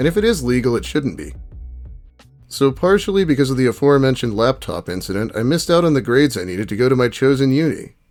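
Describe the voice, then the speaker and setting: A man at medium pitch with lively intonation and a very fast pace, music in the background. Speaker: reddit story narrator. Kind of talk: dramatic reading of reddit posts.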